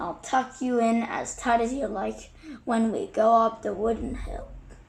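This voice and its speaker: A raspy, put-on character voice at a moderate pace over clear background noise. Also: woman, fairly high pitch for a woman. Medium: read story. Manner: warm, teasing.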